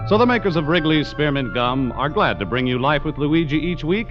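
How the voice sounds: A man speaks at a fairly high pitch. Clear music plays in the background.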